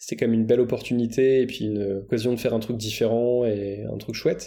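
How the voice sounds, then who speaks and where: The man's voice sits at a medium pitch and has a dark, mellow tone. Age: 30s. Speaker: math teacher and podcaster. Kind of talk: interview.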